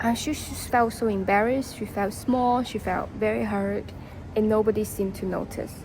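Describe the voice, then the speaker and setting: In a non-native accent, a woman speaks at a moderate pace with a fairly high pitch and fairly even intonation, over noticeable background noise. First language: not English. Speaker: storytelling vlogger. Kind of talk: casual storytelling. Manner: halting, many fillers and restarts.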